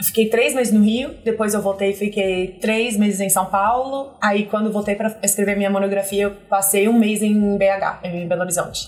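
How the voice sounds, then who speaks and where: A woman with an English accent speaks at medium pitch and a moderate pace. Her intonation is monotone and flat, with hardly any pauses. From US Northeast, near Boston (Massachusetts). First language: English (speaking Portuguese). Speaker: marketing executive. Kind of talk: interview. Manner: halting, with many restarts.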